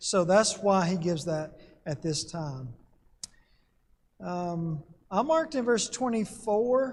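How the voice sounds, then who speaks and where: A man speaks at a very slow pace and a high pitch, with very wide pitch swings. Long, frequent pauses break up his speech. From Alabama. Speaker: Bible class teacher. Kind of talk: Bible class lecture.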